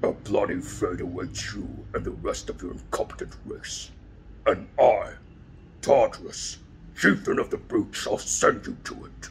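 The speaker uses a put-on character voice at a moderate pace. Clear background noise can be heard. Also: man. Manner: menacing, threatening.

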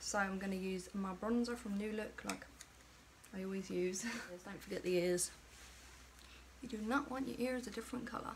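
Over noticeable background noise, a woman talks at a moderate pace with ordinary pitch variation and long, frequent pauses. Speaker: beauty vlogger. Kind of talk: chatty makeup tutorial. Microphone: phone near.

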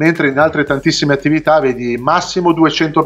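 Fairly quick, fairly even intonation from a man. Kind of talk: interview answer. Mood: frustrated, earnest complaint. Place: home room. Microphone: video call.

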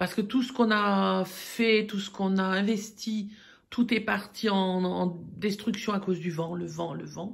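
Vocal fry runs through a woman's medium-pitched voice as she speaks with fairly even intonation. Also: fairly slow pace.

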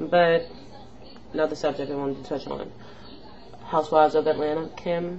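Amid light background noise, a woman with a very deep, low voice speaks in an animated tone, with long, frequent pauses. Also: fairly quick pace. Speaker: beauty and pop culture vlogger; pop culture vlogger. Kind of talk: casual vlog commentary. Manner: rambling, animated. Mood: opinionated, annoyed. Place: home room. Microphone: webcam.

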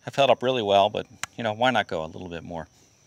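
A man talks at a fairly quick pace in a dry recording with no echo. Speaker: DIY channel host. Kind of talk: casual vlog tutorial. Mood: relaxed, chatty. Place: garden. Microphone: phone near.

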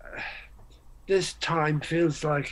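A man's fairly high voice at a slow pace

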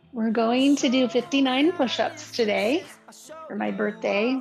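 A woman talks at a very slow pace with ordinary pitch variation. Clear music plays in the background. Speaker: yoga instructor. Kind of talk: guided class instruction. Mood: calm, slow, soothing. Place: home room.

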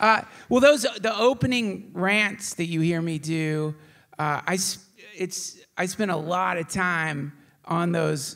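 A high-pitched man at a very slow pace, quiet background behind him. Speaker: podcast host performing live. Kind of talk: live stage monologue, comedic. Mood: relaxed, humorous. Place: stage. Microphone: handheld.

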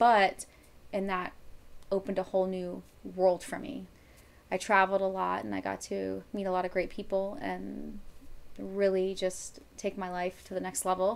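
An American accent at a moderate pace, with long, frequent pauses and flat, monotone intonation. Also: woman. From Florida, Miami. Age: 30s. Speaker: bikini competitor and hunter. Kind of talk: casual chat. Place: home room.

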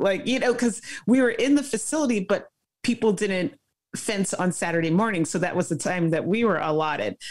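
Against a quiet background, a woman speaks at a fairly quick pace with lively intonation. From Brooklyn, New York (Flatbush); New York. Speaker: former Olympic fencer; guest. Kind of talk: interview. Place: home room. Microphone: video call.

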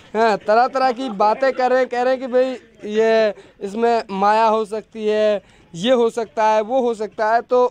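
A man speaks at a high pitch in a monotone, flat intonation. His fairly slow delivery has a dry sound with no echo. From Mewat, Haryana (India); Haryana, India. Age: 20s. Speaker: local news reporter. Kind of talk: field report. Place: open country. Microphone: handheld.

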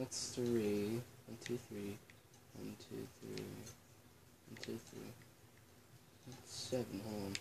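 Over noticeable background noise, a man speaks quietly at a very slow pace, with long, frequent pauses. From Ireland. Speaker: YouTuber. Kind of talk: casual vlog. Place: home room. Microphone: camera far.

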